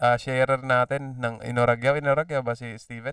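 A man's medium-pitched voice at a fairly quick pace, in a dry, close sound with no echo. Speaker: esports caster. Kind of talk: live commentary.

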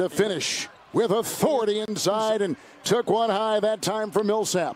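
Over noticeable background noise, a man speaks in a high pitch. His pace is fairly slow. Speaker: play-by-play commentator. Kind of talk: live sports commentary, play-by-play of a basketball game. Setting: broadcast, arena game coverage. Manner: punchy, clipped call of action.

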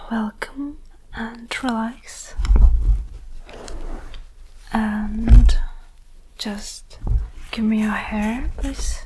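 Over noticeable background noise, a woman speaks with long, frequent pauses and big swings in loudness. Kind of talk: roleplay addressing viewer. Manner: soft-spoken, slow and intimate. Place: home room. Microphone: phone near.

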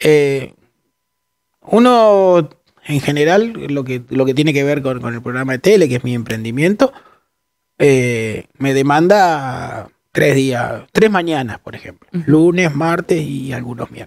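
Against a quiet background with dry sound and no echo, a man speaks fairly slowly at a fairly high pitch, his loudness swinging widely. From Argentina, La Pampa (General Pico); La Pampa, Argentina. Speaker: journalist. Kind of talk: interview. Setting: studio. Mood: relaxed, reflective. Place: studio. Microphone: headset.

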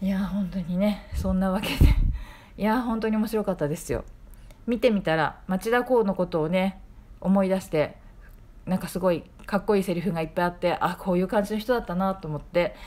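At a fairly quick pace, a woman with an ordinary speaking voice talks at medium pitch with fairly even intonation. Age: 40s. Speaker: podcaster, film reviewer. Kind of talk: casual monologue film review. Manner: chatty, informal.

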